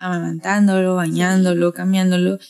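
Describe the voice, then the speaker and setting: A woman in a northern Mexican accent, recorded with a dry, close sound and no echo. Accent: northern Mexican, Tijuana. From Tijuana, Mexico. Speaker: podcast host. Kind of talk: casual chat.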